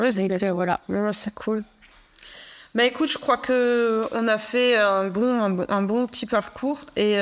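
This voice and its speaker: Here a woman talks very slowly. Her pitch is medium, with ordinary variation. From Alsace, France. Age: 40s. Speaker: podcast host. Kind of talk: interview. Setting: studio.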